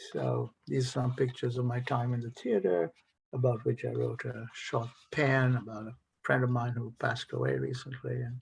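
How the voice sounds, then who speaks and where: Somewhat breathy delivery at a moderate pace, with fairly even intonation. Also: man. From India (Calcutta). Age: 70s. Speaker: author, retired professor. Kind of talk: author talk. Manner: halting.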